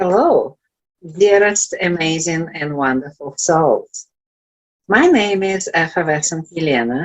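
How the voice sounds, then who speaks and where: A woman speaks with a Russian accent. Her pace is fairly slow. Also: fairly low pitch for a woman, ordinary pitch variation. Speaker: life coach. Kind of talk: inspirational talk. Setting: virtual event.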